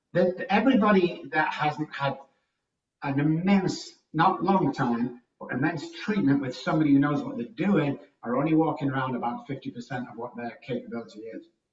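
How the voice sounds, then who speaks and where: A man's fairly high voice at a moderate pace, with very wide pitch swings and big swings in loudness. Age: 60s. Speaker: addiction recovery expert. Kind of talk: interview. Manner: animated.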